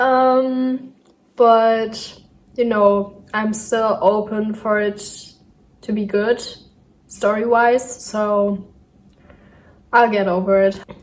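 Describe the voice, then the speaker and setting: Speaking very slowly with long, frequent pauses, a woman with a fairly high pitch and a German accent delivers her words in a flat, monotone intonation. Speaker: vlogger. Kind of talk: casual vlog narration. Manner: hesitant with fillers.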